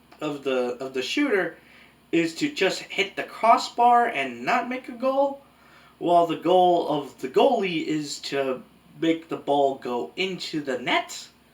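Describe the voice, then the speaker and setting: A man speaks slowly, at a fairly slow pace, in a high pitch with very wide pitch swings. Noticeable background noise is present. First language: Spanish. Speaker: anime reviewer. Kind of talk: video essay review. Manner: casual conversational.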